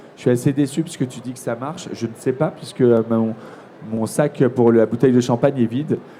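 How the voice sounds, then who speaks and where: A man talks at a fairly quick pace and a medium pitch. His intonation is fairly even, and background noise is noticeable. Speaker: TV presenter. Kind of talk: live interview at a trade fair. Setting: trade fair, live broadcast.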